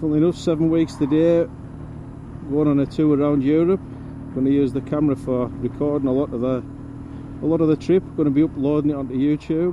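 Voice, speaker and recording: A man with a Cumbrian accent speaks at a very fast pace in a fairly high pitch, monotone and flat. Long, frequent pauses and noticeable background noise run through the clip. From northern England, Cumbria. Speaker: motorcycle vlogger. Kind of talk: casual vlog while riding.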